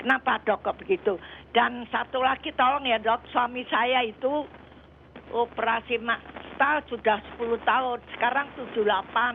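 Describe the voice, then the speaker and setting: The woman's pitch is high and her intonation fairly even. She speaks at a moderate pace. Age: 80s+. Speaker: caller. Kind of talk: phone-in question. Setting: phone call. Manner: halting.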